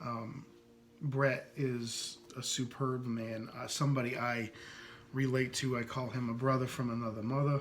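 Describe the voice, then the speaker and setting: With a slight US East Coast accent, a man talks in flat, monotone intonation, and the room echo is audible. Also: medium pitch for a man, fairly slow pace. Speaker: podcast host. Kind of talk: casual podcast monologue introducing poets. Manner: hesitant, many fillers.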